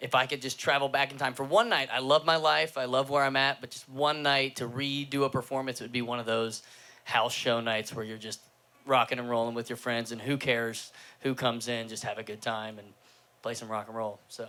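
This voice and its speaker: A man's bright, sharp voice with an American accent, fairly quick and fairly even in intonation, with big swings in loudness. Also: medium pitch for a man. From Cincinnati, Ohio. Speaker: singer-songwriter, band frontman. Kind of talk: casual interview chat. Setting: live-streamed session with audience.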